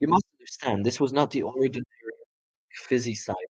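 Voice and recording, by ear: Someone reads the text aloud in a natural voice over a quiet background.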